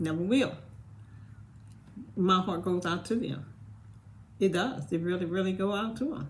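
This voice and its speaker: Amid audible room echo, a somewhat breathy woman speaks at a medium pitch and a moderate pace with lively intonation and long, frequent pauses. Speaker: vlogger. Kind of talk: casual monologue.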